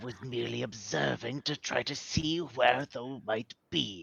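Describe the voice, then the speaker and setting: A man puts on a character voice at medium pitch. His intonation is lively and his pace fairly slow. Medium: actual play. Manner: wheedling, smug.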